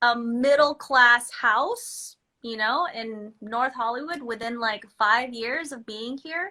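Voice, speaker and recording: A woman speaks at a very slow pace with hardly any pauses, her high voice bright and sharp in tone. Her pitch varies in an ordinary way while her loudness swings widely. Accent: Filipino. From Philippines, moved to Los Angeles at eight. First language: Filipino language. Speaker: microblading business owner. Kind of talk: casual chat. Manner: animated; halting.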